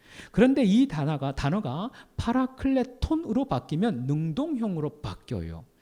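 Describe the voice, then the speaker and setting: With very wide pitch swings, a man speaks at a high pitch and a fairly slow pace in a dark, mellow tone. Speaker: pastor. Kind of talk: sermon.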